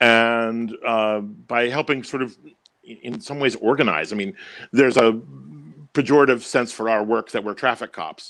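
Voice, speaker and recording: At a moderate pace, a man speaks in a General American accent with a medium pitch. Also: ordinary pitch variation. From Washington DC. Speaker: opera stage director. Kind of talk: interview. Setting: live online video interview. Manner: loud, projecting.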